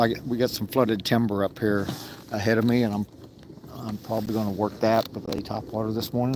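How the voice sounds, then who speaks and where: Over noticeable background noise, a man with an American accent talks at a fairly quick pace. His voice is fairly low and flat in a monotone. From Texas. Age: 60s. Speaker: fishing livestreamer. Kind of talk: live outdoor commentary. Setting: outdoors in a kayak on a lake. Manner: casual, halting.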